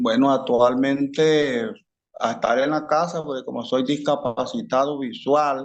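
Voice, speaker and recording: A man speaks at a very slow pace. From Colombia, rural town. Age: 60s. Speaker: armed conflict victim. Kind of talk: interview.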